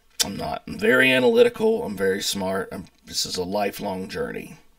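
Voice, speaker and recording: A man speaks at a moderate pace with an American accent. The background is quiet and the sound is dry, with no echo. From US South, North Carolina mountains. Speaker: YouTuber, pastor, chef and distiller. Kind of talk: casual vlog monologue. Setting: home office. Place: home room. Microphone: webcam.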